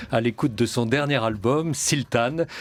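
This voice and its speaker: Here is a plain, everyday voice: a man at a medium pitch, speaking at a moderate pace with ordinary pitch variation. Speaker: radio show host. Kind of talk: radio show introduction.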